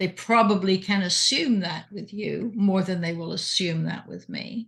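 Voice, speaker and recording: A woman with an American accent, fairly even intonation, big swings in loudness and a moderate pace. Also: medium pitch for a woman. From England. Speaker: retired doctor turned hypnotist, podcast co-host. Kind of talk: casual chat. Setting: video call.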